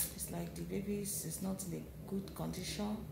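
Noticeable background noise sits under this recording. A woman speaks at a fairly slow pace. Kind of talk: casual vlog chat. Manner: weary, halting, low voice in labor. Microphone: phone near.

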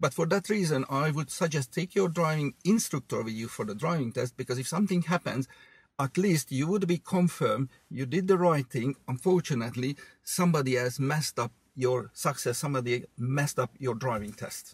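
Somewhat breathy and at a fairly quick pace, the voice has ordinary pitch variation and a dry sound with no echo. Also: man. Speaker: driving instructor. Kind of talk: casual chat. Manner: animated.

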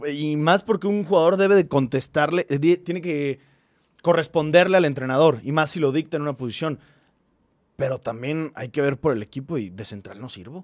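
In a quiet background, a man with a normal speaking voice talks at a moderate pace, fairly high in pitch, with ordinary pitch variation and big swings in loudness. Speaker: football fan podcast host. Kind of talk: casual chat. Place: studio. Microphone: studio mic.

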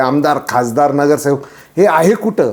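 Lively intonation in a man's fairly high voice. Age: 40s. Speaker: social commentator vlogger. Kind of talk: opinion monologue. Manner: impassioned.

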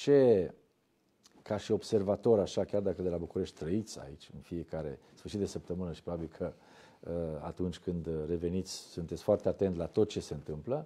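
A man with a very deep, low pitch and a dark, mellow tone, moderate pace, ordinary pitch variation. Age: young. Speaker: TV host. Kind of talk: interview. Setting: studio. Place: studio. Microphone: lapel.

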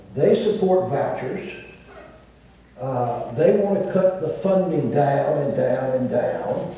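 Strong room echo surrounds the voice. The speaker talks very slowly in a Southern US accent. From US South. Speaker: former state governor. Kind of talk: panel discussion. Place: stage.

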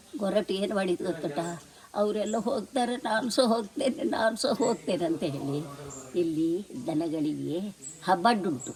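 Noticeable noise sits behind a woman speaking at medium pitch. Her pitch swings very widely. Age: 80s+. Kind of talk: folk tale told to family.

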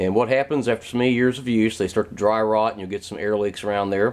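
A man speaks at a fairly low pitch. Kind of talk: tutorial. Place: garage. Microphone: phone near.

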